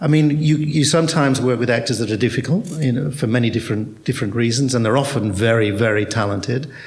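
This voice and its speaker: A man talks at a very fast pace with medium pitch and ordinary pitch variation. His voice is somewhat breathy, and audible room echo is present. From Australia. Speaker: theatre director. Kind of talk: panel discussion. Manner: hesitant, repetitive.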